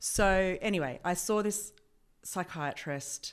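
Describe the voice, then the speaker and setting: With an Australian accent, a woman speaks at a fairly slow pace with ordinary pitch variation in a very clean recording against a silent background. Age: 40s. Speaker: healthcare professional. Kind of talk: interview.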